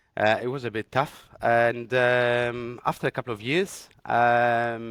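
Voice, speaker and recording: A man with a medium pitch speaks at a very slow pace, with hardly any pauses and a fairly even intonation. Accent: Greek. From Greece. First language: Greek. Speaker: radiographer. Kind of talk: interview. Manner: halting, many fillers.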